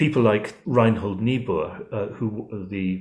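The pitch moves in an ordinary way. The voice is an unremarkable speaking voice. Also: man. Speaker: historian and policy fellow. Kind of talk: interview.

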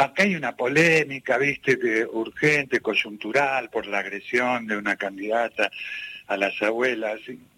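A man talks at a very slow pace. The sound is dry and close with no echo, though noticeable background noise is present. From Argentina, Buenos Aires (Ramos Mejía, La Matanza). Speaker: singer-songwriter. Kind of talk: radio interview.

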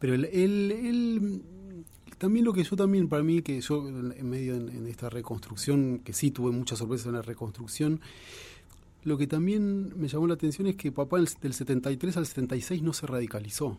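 A man's fairly high, dark, mellow voice, somewhat breathy, at a moderate pace with very wide pitch swings. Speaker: journalist and author. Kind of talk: radio interview.

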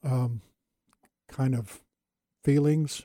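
A man's somewhat breathy, medium-pitched voice with a dark, mellow tone and fairly even intonation. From California. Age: 70s. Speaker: retired pastor. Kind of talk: casual interview conversation.

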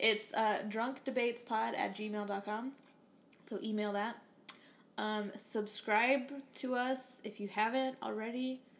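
Her pitch is fairly high and her intonation flat and monotone, with an American accent. The woman speaks very slowly. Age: 20s. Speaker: podcast co-host. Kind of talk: casual chat.

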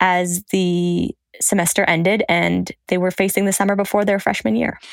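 At a moderate pace and medium pitch, a woman uses an ordinary speaking voice with fairly even intonation. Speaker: foreign affairs reporter. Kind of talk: interview.

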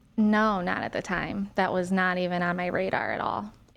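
With an American accent and an unremarkable speaking voice, a woman speaks at a medium pitch with ordinary pitch variation against a quiet background. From Ohio, US. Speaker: cancer survivor. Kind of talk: interview. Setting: studio.

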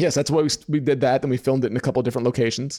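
A man talks with a fairly high pitch and a dark, mellow tone. The recording is very clean, with a silent background. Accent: American. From New York. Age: 30s. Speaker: photographer and business coach. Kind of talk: interview.

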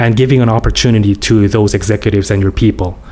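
A man speaks with a Korean accent against noticeable background noise. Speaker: business professor, former tech CEO. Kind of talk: interview.

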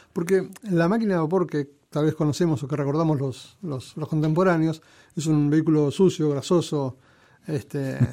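At a moderate pace, the voice has a dark, mellow tone, ordinary pitch variation and a Rioplatense accent. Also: man, fairly high pitch for a man. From Argentina, Buenos Aires area. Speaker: railway museum director. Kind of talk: interview. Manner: halting.

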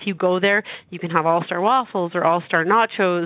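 This woman has an unremarkable speaking voice, medium in pitch, with fairly even intonation. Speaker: charity representative. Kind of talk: radio interview.

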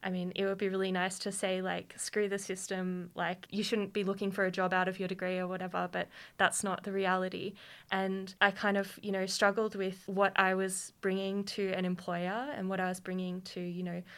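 A woman with an Australian accent speaks at a moderate pace in a medium pitch, her intonation monotone and flat, on a very clean recording with a silent background. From Queanbeyan, New South Wales, Australia. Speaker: PhD student in anthropology. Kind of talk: panel discussion.

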